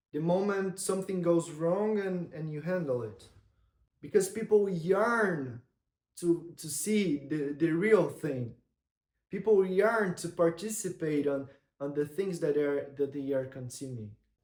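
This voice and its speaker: A man talks at a fairly slow pace in a high voice. He has a non-native accent and ordinary pitch variation. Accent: non-native English accent, noticeable. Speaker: content creator. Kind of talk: vlog-style monologue to camera. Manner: hesitant, with repetitions and false starts.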